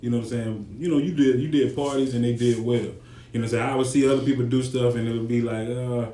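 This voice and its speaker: Monotone, flat intonation runs at a very fast pace through audible room echo and noticeable background noise. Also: man, medium pitch for a man. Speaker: podcast host. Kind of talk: podcast interview.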